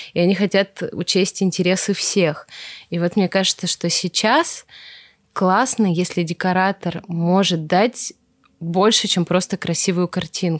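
An unremarkable speaking voice belongs to a woman at a medium pitch, talking fairly slowly with fairly even intonation and very even loudness. The sound is dry and close with no echo, a very clean recording with a silent background. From Russia, Veliky Novgorod. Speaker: wedding decor studio founder. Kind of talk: casual interview chat.

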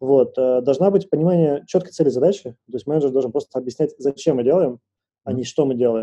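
A fairly quick, fairly high-pitched man's voice, dark and mellow in tone, with ordinary pitch variation and a dry, close sound with no echo. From Moscow, Russia. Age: 30s. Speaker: product manager at a bank. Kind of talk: casual interview chat.

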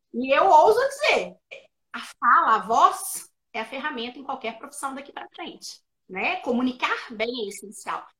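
A woman speaks in a raised, projected voice at a high pitch, with a bright, sharp tone. Her pace is moderate. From Minas Gerais, Brazil. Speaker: speech therapist and educator. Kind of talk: interview. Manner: explanatory, didactic.

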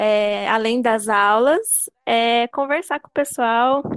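The sound is dry and close with no echo as a woman with a fairly high voice speaks with fairly even intonation. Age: 30s. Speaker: gym member. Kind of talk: casual interview.

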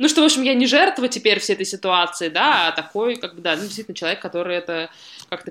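A woman's voice with ordinary pitch variation on a very clean recording, background silent. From Russia, Saint Petersburg. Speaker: documentary filmmaker. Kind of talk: casual chat; reading aloud. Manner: halting.

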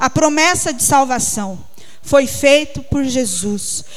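Against noticeable background noise, a woman speaks at a very slow pace, high-pitched, with lively intonation. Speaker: preacher. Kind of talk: sermon, preacher in full flow, urging and pleading with the congregation. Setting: church. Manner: fervent, emphatic, repeating words for stress.

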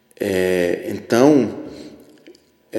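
Echo from the room is audible. A man does the talking. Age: 50s. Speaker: podcast host, religious commentator. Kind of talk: solo commentary monologue.

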